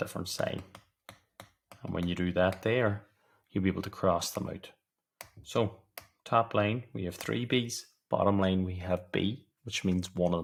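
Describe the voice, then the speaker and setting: A speaker with a Donegal accent talks at a moderate pace, leaving long, frequent pauses. Pitch variation is ordinary, and the recording is very clean with a silent background. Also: man, very deep, low pitch for a man. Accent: Donegal Irish. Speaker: maths tutor. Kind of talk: tutorial. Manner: whispering.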